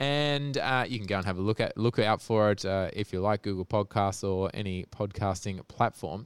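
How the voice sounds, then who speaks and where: With an Australian accent, a man talks at a fairly slow pace with lively intonation, the sound dry and close with no echo. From Australia (Sydney). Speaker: podcast host. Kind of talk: casual chat.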